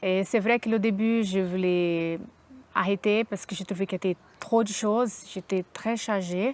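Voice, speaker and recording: In a plain, everyday voice, a woman speaks at a medium pitch and moderate pace with fairly even intonation and a dry, close sound with no echo. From Brazil. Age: 30s. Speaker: concierge, adult apprentice graduate. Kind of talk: interview testimony.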